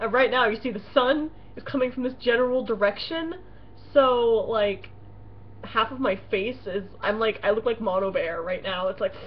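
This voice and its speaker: The speech keeps a moderate pace and ordinary pitch variation. Noticeable background noise runs underneath. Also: woman, fairly high pitch for a woman. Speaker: roleplay blogger. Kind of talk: casual webcam vlog. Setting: home webcam. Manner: loud; hesitant, filler-heavy.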